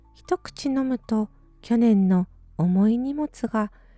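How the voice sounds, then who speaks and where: With music in the background, a woman speaks in a calm, gentle tone at a fairly high pitch, her intonation lively and the sound dry and close with no echo. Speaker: musician. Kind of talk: bedtime short story reading.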